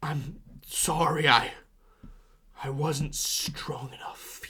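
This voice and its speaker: A raspy, whispering put-on character voice at a very slow pace. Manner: whispering, weak.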